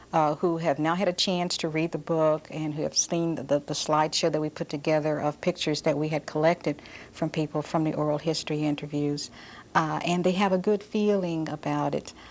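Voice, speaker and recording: An unremarkable speaking voice at a moderate pace. The background is quiet. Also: woman. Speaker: oral historian, author. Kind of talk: interview answer.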